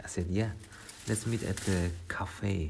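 A man speaks very slowly in a very deep, low voice with flat, monotone intonation. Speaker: solo podcaster. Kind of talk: casual monologue. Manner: rambling, hesitant.

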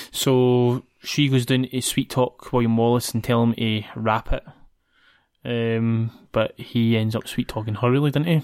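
A man with a Scottish accent at a medium pitch, monotone and flat, fairly slow, in a dry, close sound with no echo on a very clean recording with a silent background. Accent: Scottish (Ayrshire). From Scotland, Ayrshire. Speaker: podcast host. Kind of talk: casual chat. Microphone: new podcast mic.

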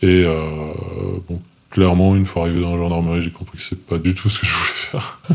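A man with a very deep, low pitch talks at a fairly quick pace. His intonation is monotone and flat, with noticeable background noise. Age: 20s. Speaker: former special forces soldier. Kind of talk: interview testimony. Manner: halting, with many fillers and repetitions.

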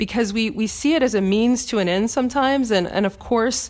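At a fairly quick pace, a woman talks in a plain, everyday voice with ordinary pitch variation. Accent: American. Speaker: podcast host. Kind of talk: solo spiritual Q&A talk, reading a listener question then answering. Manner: warm, encouraging, conversational.

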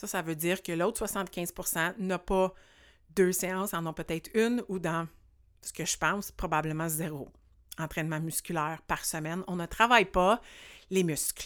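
In a very clean recording with a silent background, a woman with a fairly low voice speaks at a fairly slow pace, with fairly even intonation and long, frequent pauses. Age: 40s. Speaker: podcast host and life coach. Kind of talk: solo podcast monologue.

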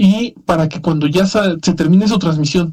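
Speaking with a Mexican accent, a man with a high pitch and a dark, mellow tone keeps his intonation fairly even. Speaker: podcast host. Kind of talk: casual chat.

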